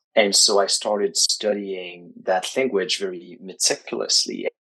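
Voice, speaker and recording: This man speaks with a French accent. His pace is fairly slow. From Quebec, Canada. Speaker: writing coach. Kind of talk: interview.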